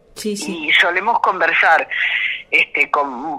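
Fairly low in pitch, a woman talks at a very slow pace. Noticeable background noise sits behind her. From Argentina, Mendoza (Cuyo). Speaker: folk singer. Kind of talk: interview.

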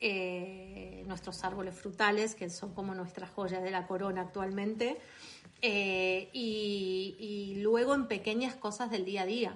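At a very slow pace and with fairly even intonation, the voice carries audible room echo. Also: woman, medium pitch for a woman. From Argentina, Buenos Aires. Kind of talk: interview. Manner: hesitant, many fillers.

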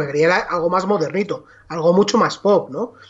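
A high-pitched man rattles off his words very fast against noticeable background noise. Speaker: film podcast co-host. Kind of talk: casual chat.

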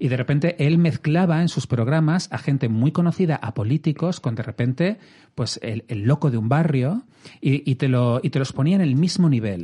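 A man speaks at a moderate pace in a fairly high, somewhat breathy voice. His tone is dark and mellow, and his intonation is lively. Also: dry, close sound with no echo. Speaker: podcast host. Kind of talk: casual chat.

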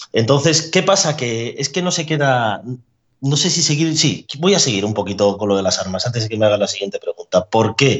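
Somewhat breathy man at a fairly high pitch, talking fairly quickly with very wide pitch swings. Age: 30s. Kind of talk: casual chat. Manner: animated.

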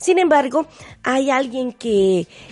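The speaker has a normal speaking voice with lively intonation. The pace is moderate. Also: woman. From Mexico, Veracruz. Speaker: radio host. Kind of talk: radio interview.

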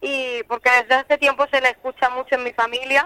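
A woman's bright, sharp tone comes through at a fairly quick pace in a dry, close sound with no echo. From Spain (Elda, Alicante). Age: young. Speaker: flamenco singer. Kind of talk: radio interview.

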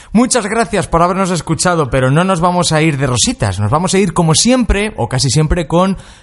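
A man's high, animated voice with very wide pitch swings. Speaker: radio host. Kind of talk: casual chat.

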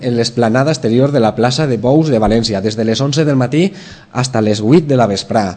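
The speaker uses a Valencian accent, keeping a moderate pace and ordinary pitch variation. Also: man. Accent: Valencian Catalan. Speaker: TV presenter. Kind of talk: TV interview. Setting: TV studio.

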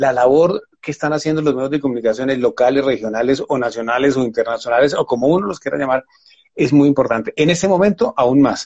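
A man's fairly high voice, with ordinary pitch variation, races along at a very fast pace. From Colombia, Valle del Cauca (Buga). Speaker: TV news presenter and journalist. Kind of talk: interview. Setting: at home during quarantine. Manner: halting.

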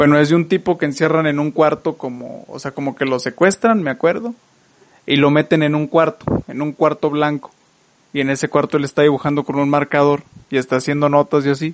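A man speaks at a fairly quick pace with fairly high pitch and fairly even intonation, recorded in a dry, close sound with no echo. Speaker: podcast host. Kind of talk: casual chat.

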